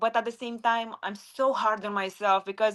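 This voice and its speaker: A woman talks at a moderate pace with a strong non-native accent. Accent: strong foreign. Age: 20s. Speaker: retired MMA fighter and sports analyst. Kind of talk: interview.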